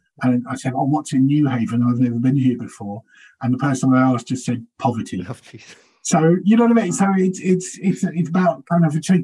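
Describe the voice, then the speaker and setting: A man speaks at a fairly quick pace with a fairly high pitch and lively intonation. His tone is dark and mellow, and somewhat breathy. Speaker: stand-up comedian. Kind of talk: casual interview chat.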